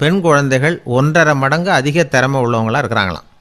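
In an ordinary speaking voice, a man talks at a fairly high pitch with lively intonation. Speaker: radio orator and storyteller, radio programme host. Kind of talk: humorous radio-style talk.

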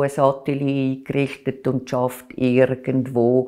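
Speaking at a very slow pace, a woman with a very deep, low voice and a dark, mellow tone is heard over a quiet background. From Switzerland, Aargau (Baden); Aargau, Switzerland. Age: 60s. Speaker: culture journalist and art critic; culture journalist. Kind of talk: oral history interview. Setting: recorded interview. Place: home room. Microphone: lapel.

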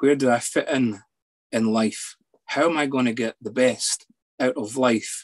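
In a Scottish accent, a man speaks with fairly even intonation. The background is quiet. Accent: Scottish (Edinburgh area). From Scotland, near Edinburgh; Scotland. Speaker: psychologist; guest. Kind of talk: personal testimony. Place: home room. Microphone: video call.

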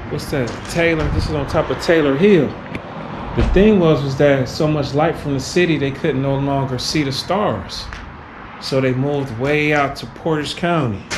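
A man at a moderate pace against noticeable background noise. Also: ordinary pitch variation. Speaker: urban explorer vlogger. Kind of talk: casual vlog chat. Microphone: phone near.

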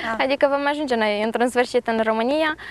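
Recorded dry with no echo, a woman speaks at a high pitch with ordinary pitch variation. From Moldova. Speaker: university student; interviewee. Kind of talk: TV interview. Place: garden.

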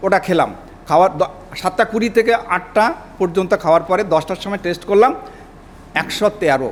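A man with a high pitch against noticeable background noise. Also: ordinary pitch variation. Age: 70s. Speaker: customer and product stockist. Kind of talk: testimonial. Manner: halting.

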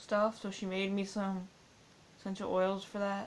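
A woman's voice moves at a moderate pace. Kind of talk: casual vlog chat. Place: home room. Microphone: webcam.

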